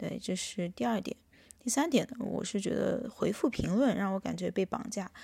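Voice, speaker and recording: A woman's medium-pitched voice with a dark, mellow tone, vocal fry, lively intonation and a moderate pace. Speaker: podcast host. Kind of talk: solo monologue. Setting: hotel room.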